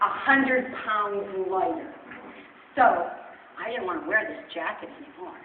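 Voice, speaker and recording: A woman speaks at a fairly high pitch and a fairly slow pace. Audible room echo and noticeable background noise are present. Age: 60s. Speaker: weight loss testimonial speaker. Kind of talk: testimony. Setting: church with audience.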